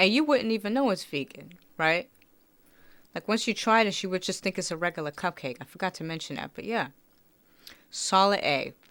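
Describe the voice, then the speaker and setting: Speaking at a fairly quick pace with lively intonation, a woman with a medium-pitched voice leaves long, frequent pauses in a very clean recording with a silent background. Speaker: food taste-test youtuber. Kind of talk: casual taste-test vlog. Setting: at home. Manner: quieter, trying not to make noise.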